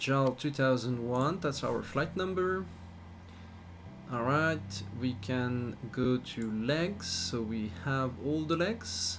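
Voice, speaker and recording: A man at a medium pitch, somewhat breathy, with very wide pitch swings, a very slow pace and audible room echo. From Switzerland. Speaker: flight sim streamer. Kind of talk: live stream commentary.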